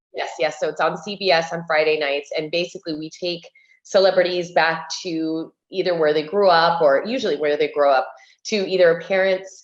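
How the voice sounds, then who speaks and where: Using a normal speaking voice, a woman with an American accent talks at a moderate pace, fairly low in pitch and fairly even in intonation. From US, Cuban family. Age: 40s. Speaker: interior designer and TV host. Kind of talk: casual chat.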